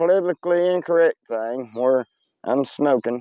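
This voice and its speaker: With a Tennessee accent, a man talks at a fairly slow pace in a fairly high pitch with ordinary pitch variation. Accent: Southern US (Tennessee). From US South. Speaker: vlogger. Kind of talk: casual rant to camera. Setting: outdoors.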